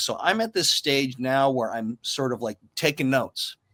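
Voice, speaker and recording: This man talks at a medium pitch. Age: 60s. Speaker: actor. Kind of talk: casual chat. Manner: halting.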